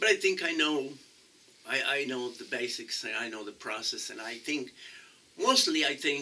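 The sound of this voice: At a moderate pace, a man talks with lively intonation, a medium pitch and a bright, sharp tone.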